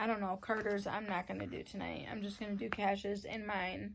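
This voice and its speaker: A woman's medium-pitched voice at a moderate pace, monotone and flat in intonation. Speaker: YouTube vlogger. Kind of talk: personal storytelling to camera.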